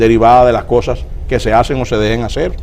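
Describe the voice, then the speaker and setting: A man at a moderate pace with lively intonation, against noticeable background noise. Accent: Dominican. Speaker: political guest. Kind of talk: TV interview.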